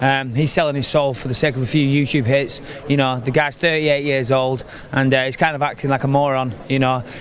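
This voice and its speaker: A man with an English accent at a medium pitch, flat and monotone, at a fairly quick pace, with noticeable background noise. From England. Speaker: MMA fighter. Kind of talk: interview. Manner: halting.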